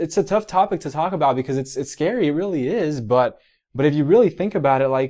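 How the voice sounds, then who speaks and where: With a Miami accent, a man speaks at a fairly high pitch in a dark, mellow tone, his intonation lively. The background is quiet. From Miami, Florida. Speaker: physical therapist and mentor. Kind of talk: motivational livestream talk. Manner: animated; halting, many repetitions.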